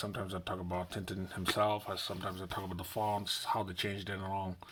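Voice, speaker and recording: A man talks very fast in a fairly low pitch with monotone, flat intonation. Noticeable background noise runs underneath. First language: non-English mother tongue. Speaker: comic book reviewer. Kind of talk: unboxing and review vlog. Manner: casual, repetitive.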